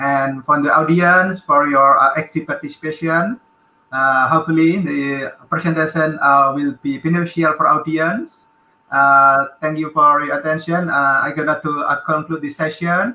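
A man with an Indonesian accent speaks at a fairly high pitch and a moderate pace, with fairly even intonation and audible room echo. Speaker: conference moderator. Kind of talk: moderating a session. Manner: halting. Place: office. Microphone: video call.

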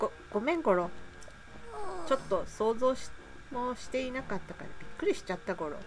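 Over background music, the speaker talks at a fairly quick pace with very wide pitch swings, big swings in loudness, and long, frequent pauses. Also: woman, high pitch for a woman. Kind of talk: casual gameplay commentary.

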